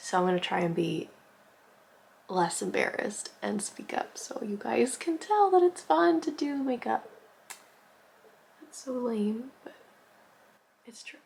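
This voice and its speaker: Over noticeable background noise, a woman talks at a fairly slow pace with very wide pitch swings and long, frequent pauses. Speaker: makeup artist youtuber. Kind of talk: makeup tutorial. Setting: at home. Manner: soft-spoken; casual, filler-heavy.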